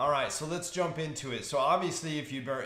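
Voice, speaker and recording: Audible room echo surrounds a man who speaks at a fairly quick rate. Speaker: stock market commentator. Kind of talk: market outlook talk. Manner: casual with fillers.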